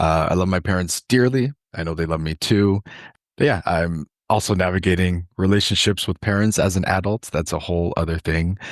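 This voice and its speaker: A man with a Toronto accent talks at a fairly quick pace in a very deep, low pitch with ordinary pitch variation. The sound is dry and close with no echo, over a quiet background. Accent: Canadian English, Toronto. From Canada, Toronto. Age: 20s. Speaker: food justice worker and urban farmer. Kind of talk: podcast interview.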